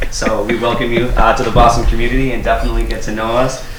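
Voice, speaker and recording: Talking at a very fast pace, a man with an American accent is heard through audible room echo and noticeable background noise. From Martha's Vineyard, Massachusetts. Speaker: youth program manager at a community agency. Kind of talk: radio interview.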